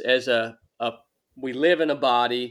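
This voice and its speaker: Fairly even intonation comes through a bright, sharp tone. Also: man, very clean recording, silent background. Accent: Southern US. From US South, northwest Georgia. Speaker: former Navy SEAL and ultra runner. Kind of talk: interview conversation.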